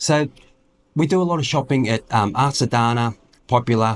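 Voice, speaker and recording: The speaker, a man, talks in an Australian accent. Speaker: retiree vlogger. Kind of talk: casual vlog talk. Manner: halting, many fillers.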